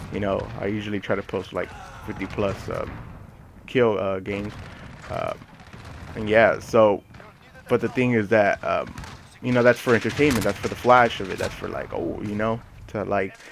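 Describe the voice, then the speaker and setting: A man talks at a moderate pace in a flat, monotone way, with long and frequent pauses. Background noise is noticeable. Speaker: gaming YouTuber. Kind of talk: gaming commentary. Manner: hesitant, many fillers.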